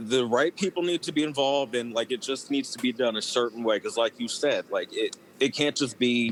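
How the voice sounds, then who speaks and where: Over noticeable background noise, a man speaks at a fairly quick pace with a medium pitch and ordinary pitch variation, in a dry, close sound with no echo. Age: 30s. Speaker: former children's TV cast member. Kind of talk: casual interview.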